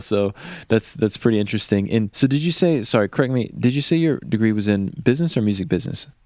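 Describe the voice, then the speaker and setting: A man talks at a very fast pace in an American accent. His voice is fairly low, and the recording is very clean with a silent background. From Virginia, outside Richmond. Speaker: podcast host. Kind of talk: casual interview. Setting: at guest's home.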